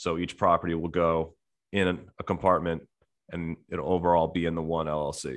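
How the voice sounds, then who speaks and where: A man with an American accent, very deep and low in pitch, in a monotone, flat delivery. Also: fairly quick pace. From US, New Jersey. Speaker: real estate investor. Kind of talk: interview.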